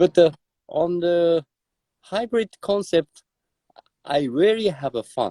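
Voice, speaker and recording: A man with a Japanese accent and a high pitch speaks at a very slow pace with long, frequent pauses, in a dry, close sound with no echo. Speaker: drummer. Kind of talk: interview. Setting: live video stream. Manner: halting.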